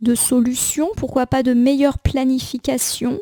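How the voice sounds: Dry and close with no echo, a woman's high voice has a dark, mellow tone at a fairly slow pace.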